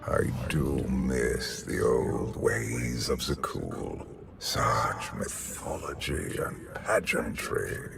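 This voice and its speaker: Over clear music in the background, a man in a put-on character voice speaks at a very slow pace with hardly any pauses. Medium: video game. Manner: measured, commanding.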